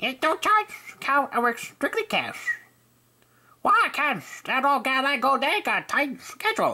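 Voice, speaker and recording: A high-pitched cartoonish character voice moves at a fairly slow pace, broken by long, frequent pauses. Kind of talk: cartoon character audition. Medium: voice reel.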